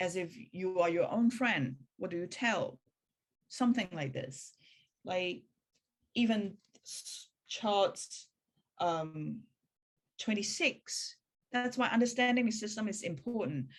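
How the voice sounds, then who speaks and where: A woman with a non-native accent, medium pitch, somewhat breathy, lively intonation, very slow pace and long, frequent pauses. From Hong Kong. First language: Cantonese. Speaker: spiritual practice teacher. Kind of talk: talk in a practitioner meeting. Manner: halting.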